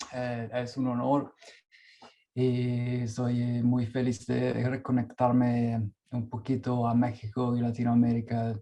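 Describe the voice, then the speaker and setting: A man with a non-native accent speaks very slowly at medium pitch. His tone is dark and mellow, his intonation monotone and flat. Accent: non-native Spanish speaker. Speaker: performance artist and researcher. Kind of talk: conference talk. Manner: halting.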